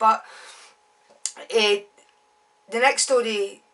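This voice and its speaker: Flat, monotone delivery from a woman with a Glaswegian accent, fairly high-pitched, at a fairly slow pace over noticeable background noise. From Scotland, Glasgow. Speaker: author. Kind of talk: casual monologue.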